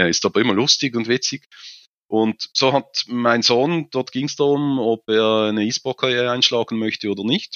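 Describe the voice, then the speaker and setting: At a moderate pace, a man talks at a medium pitch. His intonation is fairly even. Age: 50s. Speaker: online marketing specialist and esports enthusiast. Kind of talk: interview. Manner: frequent filler hesitations.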